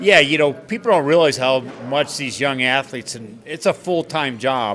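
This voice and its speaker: Against noticeable background noise, a man with a fairly high pitch talks at a moderate pace, his intonation lively and his loudness swinging widely. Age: 60s. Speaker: bar owner and businessman. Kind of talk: interview.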